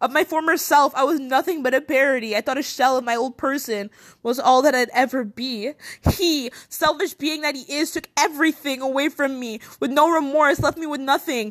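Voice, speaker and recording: A woman's intense tone, high in pitch with ordinary variation, at a moderate pace. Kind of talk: spoken word poetry. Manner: intense, rhythmic, emotionally charged delivery.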